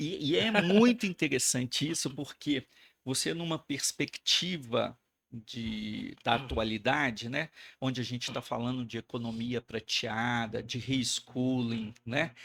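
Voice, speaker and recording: Recorded very cleanly with a silent background and a dry, close sound with no echo, a man speaks fairly slowly at medium pitch with vocal fry and ordinary pitch variation. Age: 60s. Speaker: education director. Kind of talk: casual interview chat.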